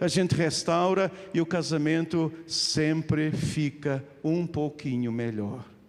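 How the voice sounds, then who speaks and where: A man speaks at a very slow pace in a European Portuguese accent. Noticeable background noise runs underneath. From Portugal. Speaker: pastor. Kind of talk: sermon. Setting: church.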